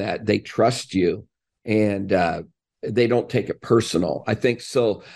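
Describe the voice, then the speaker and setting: A man with a plain, everyday voice talks at a medium pitch and a fairly slow pace, with ordinary pitch variation and a quiet background. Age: 60s. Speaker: college basketball coach. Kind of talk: interview.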